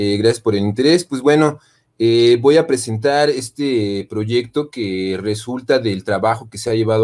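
Speech moves at a moderate pace with ordinary pitch variation. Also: man. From Mexico. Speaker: university lecturer in design. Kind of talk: conference presentation. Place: home room.

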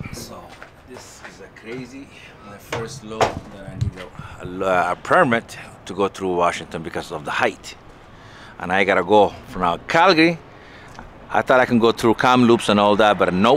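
A man with fairly low pitch talks at a moderate pace with lively intonation and long, frequent pauses, his dry sound having no echo over light background noise. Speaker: truck driver. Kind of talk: vlog narration while working. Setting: outdoors at loading site and truck. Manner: halting, casual. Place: street. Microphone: phone near.

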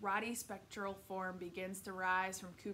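What you hear is a natural reading voice.

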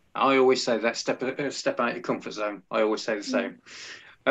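With an English accent, a man speaks at a fairly quick pace against a quiet background. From England. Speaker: music podcast host and radio presenter; music podcast host, radio presenter. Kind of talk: casual interview. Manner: animated. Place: home room. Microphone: webcam.

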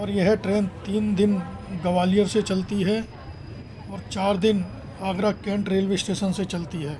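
Fairly slow speech over light background noise. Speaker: travel vlogger. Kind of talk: casual vlog narration. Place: station.

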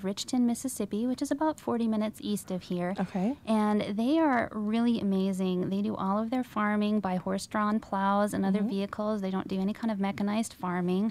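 At a moderate pace, a woman is speaking. The sound is dry, with no echo. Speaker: guest. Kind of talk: interview answer. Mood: enthusiastic, warm. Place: studio. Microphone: studio mic.

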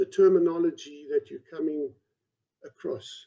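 Only a quiet background surrounds the man speaking. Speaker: presenter. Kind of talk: lecture. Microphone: video call.

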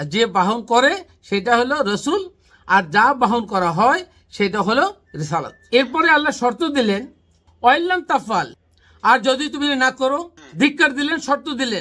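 A man's extremely high, bright, sharp voice, raised and projected, with lively intonation. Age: 50s. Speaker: Islamic researcher, channel host. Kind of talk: religious teaching discussion.

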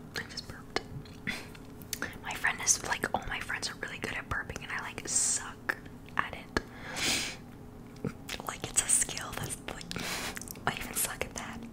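Soft-spoken and whispering, a woman leaves long, frequent pauses over loud background noise. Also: moderate pace. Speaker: podcaster or streamer. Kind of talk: casual chat and reading quotes. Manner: soft close-mic whisper, chatty. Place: home room. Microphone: studio mic.

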